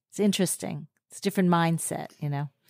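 Recorded very cleanly against a silent background, with a dry, close sound and no echo, a woman with an unremarkable speaking voice talks at a fairly low pitch and ordinary pitch variation. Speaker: podcast co-host. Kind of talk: casual interview chat.

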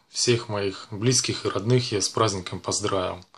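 A man talks at a very slow pace in a fairly low pitch, his intonation fairly even. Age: 40s. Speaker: vlogger, actor doing shoots; vlogger. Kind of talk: casual vlog monologue. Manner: casual, filler-heavy. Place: home room. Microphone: webcam.

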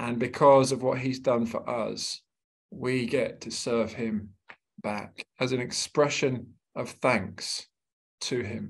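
A man's very slow, fairly even, medium-pitched speech with a British accent, over a quiet background. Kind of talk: webinar talk. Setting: video call.

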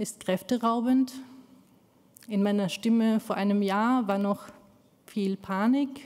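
A woman talks at a very slow pace with fairly even intonation. Her voice is fairly high-pitched, somewhat breathy and dark and mellow in tone. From Afghanistan, raised in Austria. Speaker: community activist; speaker. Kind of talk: speech. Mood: earnest, emotionally engaged. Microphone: podium.

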